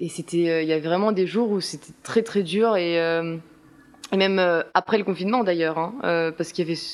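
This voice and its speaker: A woman's fairly low voice at a moderate pace with fairly even intonation. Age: 20s. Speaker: theatre student. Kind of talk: casual interview. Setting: apartment with windows open. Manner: hesitant, many fillers.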